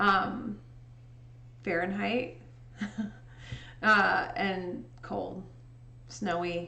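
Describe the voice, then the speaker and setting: A woman speaks with an American accent. Audible room echo surrounds her voice. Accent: Indiana accent with a touch of Chicago. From US Midwest, southern Indiana. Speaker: livestreamer and photo editor; livestreamer. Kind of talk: casual chat. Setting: livestream. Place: home room.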